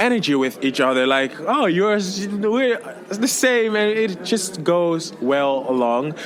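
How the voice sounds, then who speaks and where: With a French accent, a man speaks fairly slowly in a high, animated voice with very wide pitch swings and very even loudness, over noticeable background noise and audible room echo. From Congo, then Netherlands. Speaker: singer, contest entrant. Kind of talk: interview.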